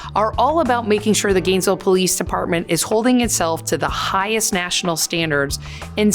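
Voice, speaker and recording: With music in the background, a woman speaks at a fairly quick pace with lively intonation. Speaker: chief inspector at a police department. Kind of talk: interview answer.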